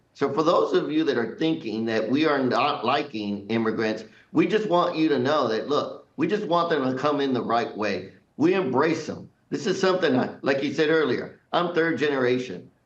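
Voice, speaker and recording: Audible room echo hangs around the speech. A man talks at a moderate pace. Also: fairly high pitch for a man, lively intonation. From US, Mexican-American family. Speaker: congressman. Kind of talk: TV news interview. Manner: emphatic.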